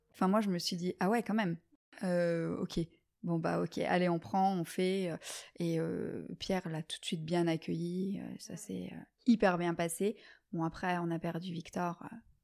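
A woman with an ordinary speaking voice talks at a fairly slow pace and fairly low pitch, keeping her intonation fairly even. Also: very clean recording, silent background. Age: 30s. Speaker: medical sales rep. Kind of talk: casual interview. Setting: in-person at host's home.

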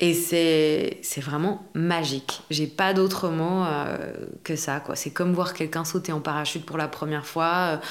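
At a fairly slow pace, a woman with a fairly low pitch speaks in a monotone, flat intonation. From Belgium. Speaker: actress and acting coach. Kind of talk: casual interview.

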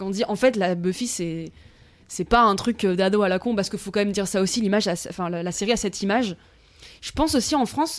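A woman with an ordinary speaking voice talks at a fairly quick pace and a medium pitch. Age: 20s. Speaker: student. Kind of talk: casual chat. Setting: at the host's home.

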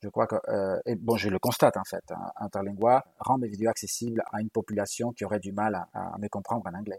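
Speaking fairly quickly with hardly any pauses, a man with a non-native accent holds a monotone, flat intonation at a fairly low pitch, the sound dry and close with no echo. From Galicia, Spain. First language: Galician and Spanish (speaking French). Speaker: university language professor. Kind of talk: interview.

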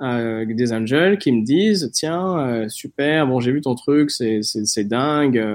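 The delivery is very slow yet has hardly any pauses. The intonation is lively. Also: man, medium pitch for a man. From southern France, near Nice. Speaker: startup founder and investor. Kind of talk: interview.

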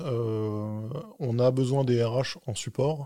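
Speaking at a medium pitch, a man keeps a fairly even intonation. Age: 40s. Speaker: tech executive. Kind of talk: interview. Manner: halting.

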